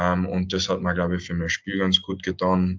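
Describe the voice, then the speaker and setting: This man's very deep, low voice is monotone and flat, delivered at a fairly slow pace. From Austria, Carinthia (Villach). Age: 20s. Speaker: ice hockey player. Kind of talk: interview. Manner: halting, many fillers.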